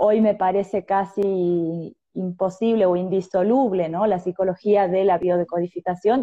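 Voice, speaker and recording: A woman with an Argentine accent speaks at a moderate pace and medium pitch, keeping her intonation fairly even. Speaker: psychologist. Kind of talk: interview.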